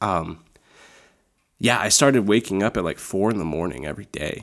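A man with a Midwestern US accent speaks in a very deep, low pitch. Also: very clean recording, silent background. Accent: US Midwest. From Iowa, Des Moines. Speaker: campus ministry leader. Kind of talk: casual chat.

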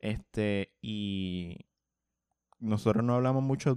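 In a plain, everyday voice, a man speaks at a fairly low pitch with ordinary pitch variation over a quiet background. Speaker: podcast co-host. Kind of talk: casual chat.

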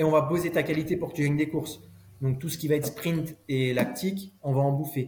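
A man speaks at a fairly quick pace with fairly even intonation. His is an unremarkable speaking voice, fairly high in pitch. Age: 30s. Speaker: former pro cyclist turned cycling coach. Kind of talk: casual interview chat.

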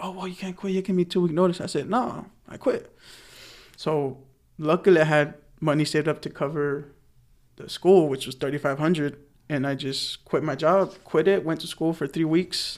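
With an American accent and an ordinary speaking voice, a man talks at a moderate pace and fairly high pitch, keeping fairly even intonation despite big swings in loudness. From US West Coast, San Fernando Valley, Los Angeles. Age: 20s. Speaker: truck driver. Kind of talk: casual chat. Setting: studio.

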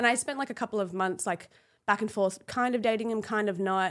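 On a very clean recording with a silent background, a woman talks at a very fast pace with an Australian accent. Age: 30s. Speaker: former fashion model. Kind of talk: casual chat.

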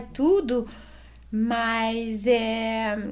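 A woman speaks in a Swiss French accent with fairly even intonation. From Switzerland. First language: French (speaking Portuguese). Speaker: amateur cyclist and real estate agent. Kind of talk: casual interview.

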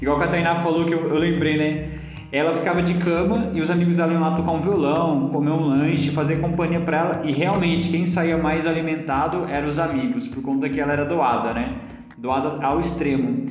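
Loudness stays very even, and pitch varies in an ordinary way. Audible room echo and noticeable background noise fill the recording. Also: man, fairly high pitch for a man, fairly quick pace. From Brazil, São Paulo interior. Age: 20s. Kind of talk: casual chat. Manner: animated.

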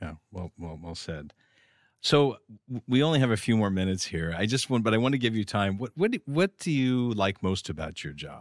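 In a very clean recording with a silent background, a man with a fairly low voice speaks at a moderate pace, his pitch swinging very widely and his loudness varying a lot. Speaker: podcast host and government communications manager. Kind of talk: interview.

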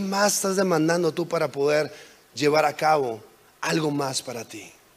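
Noticeable background noise sits behind a man's voice. His pitch varies in an ordinary way. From Mexico, border with California. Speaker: guest preacher. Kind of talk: sermon. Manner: halting.

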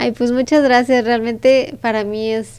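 A woman with a plain, everyday voice speaks with fairly even intonation. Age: 20s. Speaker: entrepreneur. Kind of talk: interview.

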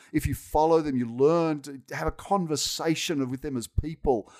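In a very clean recording with a silent background, a man with an Australian accent talks at a moderate pace in a fairly high pitch. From Sydney, Australia. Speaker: technology executive. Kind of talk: casual interview.

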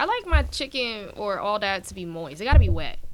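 A woman with an American accent, against noticeable background noise. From Brooklyn, New York. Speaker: aspiring singer and actress. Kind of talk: casual chat.

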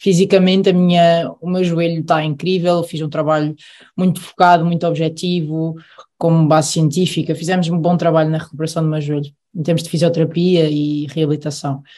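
Flat, monotone intonation marks this woman's fairly low-pitched voice as she speaks at a fairly quick pace. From Aveiro, Portugal. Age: 20s. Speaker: professional handball player. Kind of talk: casual chat.

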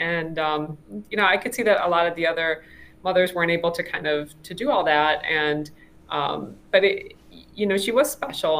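A woman with an unremarkable speaking voice talks at a moderate pace, fairly low in pitch with ordinary pitch variation. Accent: American. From Chicago suburbs, US Midwest. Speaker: engineering professor. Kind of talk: interview.

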